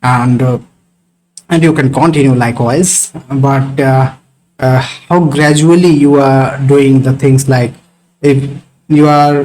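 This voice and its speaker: A man speaks with an Indian accent at a very slow pace, with long, frequent pauses. His intonation is monotone and flat, his loudness very even. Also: fairly high pitch for a man. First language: Hindi. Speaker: networking instructor. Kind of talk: live online class discussion. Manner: halting, many fillers.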